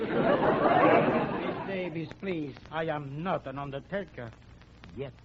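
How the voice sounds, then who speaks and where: Crowd noise fills the background as a man speaks very slowly. His voice is fairly high, with ordinary pitch variation. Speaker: bandleader and candy businessman (comedy character). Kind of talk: old-time radio comedy sketch.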